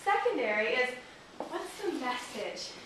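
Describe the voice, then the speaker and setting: There is noticeable background noise and audible room echo. The speaker is a woman. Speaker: graphic designer. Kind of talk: workshop presentation. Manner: fast.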